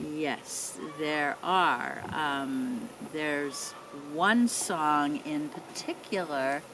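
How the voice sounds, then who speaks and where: A woman's very deep, low voice with lively intonation at a very slow pace, over noticeable background noise. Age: 80s+. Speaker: mother of the interviewer. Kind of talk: casual family interview. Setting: outdoors in backyard.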